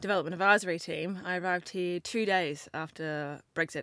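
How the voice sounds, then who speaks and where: This very clean recording with a silent background carries a bright, sharp voice speaking at a fairly quick pace with fairly even intonation. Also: woman. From Australia. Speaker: government digital engagement officer. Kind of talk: professional interview.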